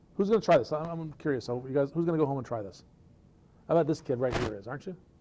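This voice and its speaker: A man talks at a very fast pace with a dark, mellow tone and lively intonation. His loudness swings widely over noticeable background noise. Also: fairly high pitch for a man. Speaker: presenter at developer meetup; presenter. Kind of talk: technical presentation.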